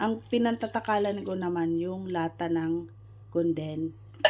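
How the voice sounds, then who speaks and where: A woman speaks in a fairly low pitch with a dark, mellow tone and a somewhat breathy quality. Her pitch swings very widely. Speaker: cooking vlogger. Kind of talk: cooking tutorial. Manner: casual, chatty.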